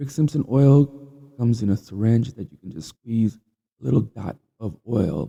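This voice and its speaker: Somewhat breathy, a man talks at medium pitch and a moderate pace with lively intonation. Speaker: podcast host. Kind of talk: casual monologue. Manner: halting.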